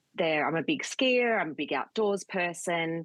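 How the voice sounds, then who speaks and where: Speaking at a moderate pace with an Australian accent, a woman comes across in a dry, close sound with no echo. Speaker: communications consultant. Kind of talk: interview.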